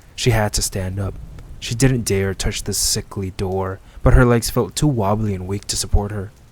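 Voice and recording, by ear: Someone is reading aloud in a natural voice. The pitch varies in an ordinary way.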